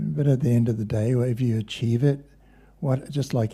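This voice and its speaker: A somewhat breathy voice with a dark, mellow tone at a moderate pace. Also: man. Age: 70s. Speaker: kirtan and yoga teacher. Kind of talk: spiritual talk.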